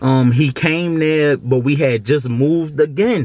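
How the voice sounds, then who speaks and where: A man speaks with fairly even intonation. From Baltimore, Maryland (US). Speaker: vlogger. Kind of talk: testimony. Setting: at home. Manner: casual.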